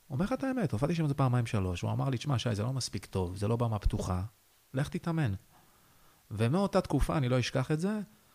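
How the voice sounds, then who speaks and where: Speaking at a very fast pace with long, frequent pauses, a man uses a somewhat breathy, medium-pitched voice with very wide pitch swings. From northern Israel, Haifa bay area. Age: 30s. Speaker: stand-up comedian. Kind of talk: interview.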